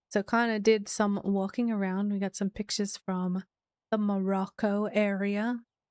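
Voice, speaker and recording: Soft-spoken and medium in pitch, a woman speaks at a fairly slow pace in a dry, close sound with no echo on a very clean recording with a silent background. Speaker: streamer. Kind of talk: casual chat. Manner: halting.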